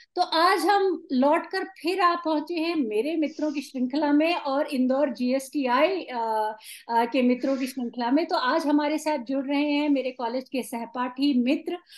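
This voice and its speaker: A woman speaks high in a Tamil accent, with hardly any pauses. Her pitch variation is ordinary. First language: Tamil (speaking Hindi). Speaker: podcast host. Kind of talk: casual chat.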